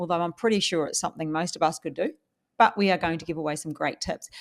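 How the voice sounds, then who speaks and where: In a very clean recording with a silent background, a woman with a New Zealand accent speaks at a fairly low pitch with ordinary pitch variation. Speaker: podcast host, property investor. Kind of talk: casual chat.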